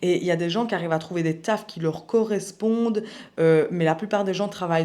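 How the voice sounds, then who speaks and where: The pitch varies in an ordinary way as the words come at a moderate pace. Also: woman. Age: 20s. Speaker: personal development youtuber. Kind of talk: personal testimony vlog. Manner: casual, hesitant with fillers.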